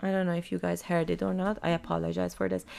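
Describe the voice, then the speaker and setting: On a very clean recording with a silent background, a woman speaks with an Iranian accent. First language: Farsi. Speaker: podcast host. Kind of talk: personal monologue reading own text. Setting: home desk.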